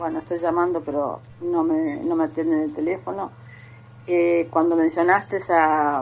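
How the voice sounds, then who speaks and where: At a moderate pace, this a normal speaking voice carries fairly even intonation. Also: woman, fairly low pitch for a woman. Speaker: caller. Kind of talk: casual chat.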